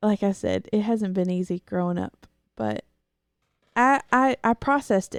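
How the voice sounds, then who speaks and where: Soft-spoken at a moderate pace, the voice takes long, frequent pauses, recorded very cleanly with a silent background and a dry, close sound with no echo. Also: woman. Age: 20s. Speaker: host's wife, guest. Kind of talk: casual chat. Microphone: microphone processed to pick up quiet voice.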